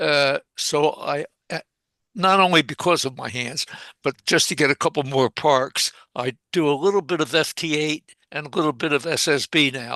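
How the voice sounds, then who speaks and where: A fairly high male voice, bright and sharp, at a moderate pace with ordinary pitch variation, in a dry, close sound with no echo over a quiet background. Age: 90s. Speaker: amateur radio operator. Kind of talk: casual chat. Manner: halting.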